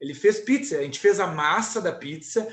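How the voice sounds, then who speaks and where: This is a man speaking. His voice is high. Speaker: university lecturer in physical education. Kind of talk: online lecture with Q&A.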